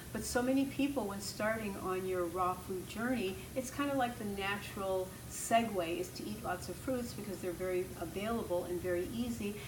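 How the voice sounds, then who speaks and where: A woman speaks at a moderate pace with a medium pitch, hardly pausing at all. Background noise is noticeable behind her. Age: 70s. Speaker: raw food health educator. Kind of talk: answering viewer questions. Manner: casual, encouraging. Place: home room.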